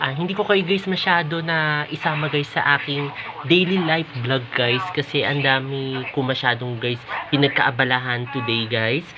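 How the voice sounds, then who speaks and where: Over noticeable background noise, a woman with a very deep, low pitch talks at a moderate pace with ordinary pitch variation. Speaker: vlogger. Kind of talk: casual vlog. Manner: soft-spoken.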